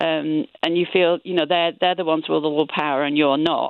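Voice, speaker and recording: A woman talks at a moderate pace in a fairly low pitch. She has a plain, everyday voice. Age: 60s. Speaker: caller. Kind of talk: radio phone-in call.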